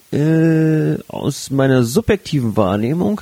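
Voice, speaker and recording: Noticeable background noise sits under a man whose intonation is lively. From northern Germany, Flensburg. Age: 30s. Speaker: sex educator and podcast co-host. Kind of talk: casual chat.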